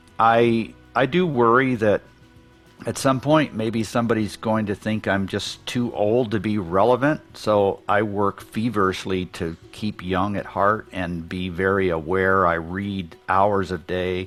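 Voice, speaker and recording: The speech comes at a fairly slow pace with ordinary pitch variation, over noticeable background noise. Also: man, fairly low pitch for a man. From Central America, Mayan community abroad. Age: 60s. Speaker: business advisor and author. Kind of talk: casual interview conversation.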